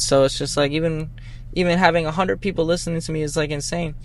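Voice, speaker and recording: A man with an American accent talks in fairly even intonation while noticeable background noise runs underneath. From Boston. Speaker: rapper. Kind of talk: casual interview.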